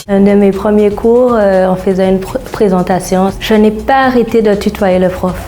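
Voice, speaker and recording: A woman's medium-pitched voice at a fairly slow pace with hardly any pauses, over noticeable background noise. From Saint-Martin (Caribbean). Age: 20s. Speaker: psychologist, former student. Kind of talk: interview testimony.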